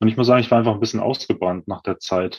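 A man at a medium pitch with a normal speaking voice. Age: 30s. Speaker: former bodybuilding athlete. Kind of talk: casual interview.

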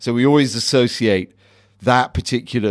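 On a very clean recording with a silent background, a man uses a normal speaking voice at a fairly low pitch. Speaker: bar owner host of tasting. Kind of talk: casual guided tasting. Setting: basement bar.

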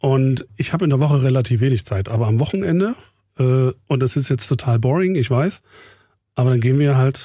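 A man with a fairly high, somewhat breathy voice and a dark, mellow tone is heard in a very clean recording with a silent background. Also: dry, close sound with no echo. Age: 40s. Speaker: radio program director and podcast host. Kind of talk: casual chat.

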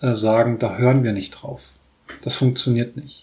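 Fairly slow in pace, this speech comes in a somewhat breathy voice. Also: man. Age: 30s. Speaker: podcast host. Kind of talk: solo commentary monologue. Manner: halting with many fillers.

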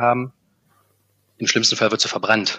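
A man rattles along at a very fast pace in a monotone, flat intonation. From Harz region, Germany. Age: 30s. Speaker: corporate sustainability manager. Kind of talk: interview.

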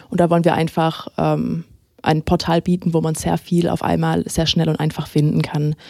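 The woman's moderate pace comes across in a dry, close sound with no echo. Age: 20s. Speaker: web portal volunteer. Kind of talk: casual interview.

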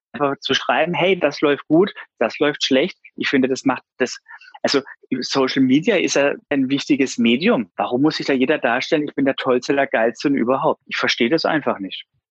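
With an unremarkable speaking voice, a man talks at a moderate pace with ordinary pitch variation, in a dry, close sound with no echo. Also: fairly high pitch for a man. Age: 30s. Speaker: insurance broker and business owner. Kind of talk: interview.

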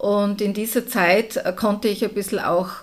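With a plain, everyday voice, a woman speaks at a fairly slow pace and a medium pitch. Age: 50s. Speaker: entrepreneur. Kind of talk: interview.

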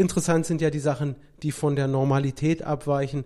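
Moving at a moderate pace, a man with a plain, everyday voice speaks at a fairly high pitch with ordinary pitch variation. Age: 30s. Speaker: lawyer and notary. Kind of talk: casual interview.

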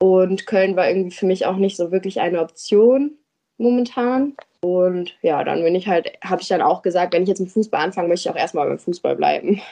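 In an ordinary speaking voice, a woman speaks at a medium pitch with ordinary pitch variation. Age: 20s. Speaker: amateur footballer and former ice hockey goalie. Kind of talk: casual interview. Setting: podcast studio in Düsseldorf.

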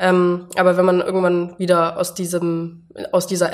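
A woman speaks with monotone, flat intonation. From Allgäu, Bavaria, southern Germany. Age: 20s. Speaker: Instagram influencer. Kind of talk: interview.

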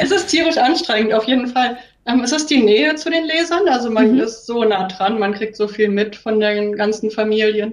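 With a normal speaking voice, a woman talks at a moderate pace with hardly any pauses, her fairly high pitch rising and falling in lively intonation. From Thuringia, Germany. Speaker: mobile library librarian. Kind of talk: casual interview.

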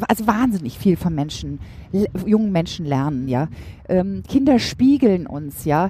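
A woman speaks at a fairly slow pace in a dark, mellow tone, her voice somewhat breathy and her intonation lively. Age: 40s. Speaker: motivational trainer and speaker. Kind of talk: casual interview.

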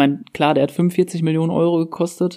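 Man's dark, mellow voice with fairly even intonation. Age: 20s. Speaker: football podcast co-host, IT project manager. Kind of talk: casual chat.

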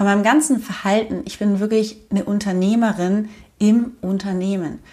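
Speaking with fairly even intonation, a woman sounds somewhat breathy. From Germany. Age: 30s. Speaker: podcast host and online business coach. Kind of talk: personal storytelling monologue.

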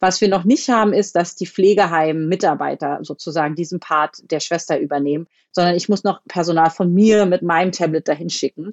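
Fast-moving at a fairly quick pace, this is a plain, everyday voice with ordinary pitch variation. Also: woman, fairly low pitch for a woman. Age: 30s. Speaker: family doctor. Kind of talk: interview. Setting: phone call.

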